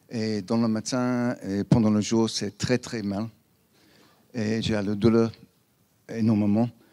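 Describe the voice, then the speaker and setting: In an English accent, a dark, mellow voice speaks at a very slow pace with monotone, flat intonation. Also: man. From England. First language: English (speaking French). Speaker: attendee giving testimony. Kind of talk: testimony. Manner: halting.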